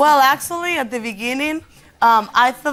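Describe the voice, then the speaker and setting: A woman's bright, sharp voice with a slight Spanish accent, ordinary pitch variation and a fairly quick pace. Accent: Spanish accent, mild. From Spain, Madrid. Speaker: dating show contestant. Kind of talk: talk show conversation.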